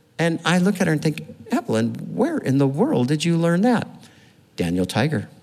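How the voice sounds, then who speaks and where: The speaker keeps a moderate pace with very even loudness. Noticeable background noise sits behind the voice. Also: man. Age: old. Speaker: pastor. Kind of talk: sermon.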